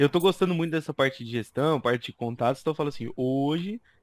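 A man speaks in a plain, everyday voice, his pitch fairly high for a man and its variation ordinary. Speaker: instructional designer. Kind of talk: casual chat.

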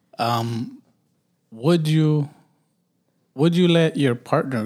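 A man with an American accent at a very slow pace. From US, urban neighborhood. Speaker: podcast host. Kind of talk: casual chat. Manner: stutters and pauses a lot.

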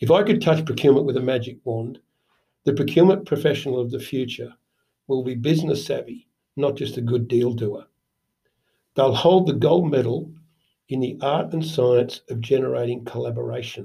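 A man with an Australian accent, medium pitch and a dark, mellow tone, vocal fry, ordinary pitch variation and a moderate pace. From Sydney, Australia. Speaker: procurement consultant. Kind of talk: interview.

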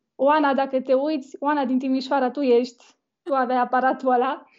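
The woman's pitch is high, and her speech moves at a moderate pace. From Romania. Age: 20s. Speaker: wedding photographer. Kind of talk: interview. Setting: live video call.

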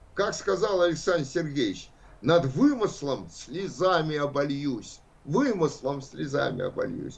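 This man speaks very slowly with a fairly high pitch and lively intonation, and the room echo is audible. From Russia, Saint Petersburg. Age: 70s. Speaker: philosophy professor. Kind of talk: lecture.

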